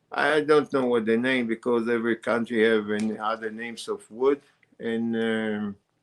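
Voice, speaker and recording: A man at medium pitch and moderate pace, with a non-native accent and monotone, flat intonation. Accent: foreign. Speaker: wood carver and carving teacher. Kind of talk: casual interview. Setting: on-site visit, filmed live. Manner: halting, many fillers and repetitions.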